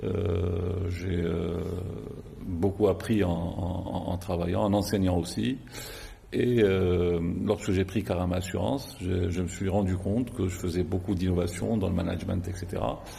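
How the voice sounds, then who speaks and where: Amid audible room echo, a man with a very deep, low pitch speaks at a fairly slow pace with ordinary pitch variation. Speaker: insurance company executive. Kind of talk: TV interview. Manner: halting, many hesitations.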